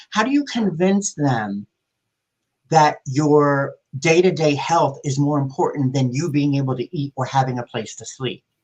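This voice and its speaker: The sound is dry and close with no echo, and the speech moves at a fairly slow pace with ordinary pitch variation. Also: man, fairly high pitch for a man. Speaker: public health care coordinator. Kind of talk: panel discussion. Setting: live online panel. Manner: loud.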